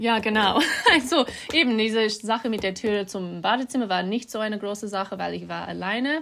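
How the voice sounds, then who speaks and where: Against noticeable background noise, a woman speaks at a fairly quick pace with a fairly high pitch and ordinary pitch variation. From Australia, Melbourne. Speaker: artist and interior designer. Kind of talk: casual chat. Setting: outdoors on a farm. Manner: halting.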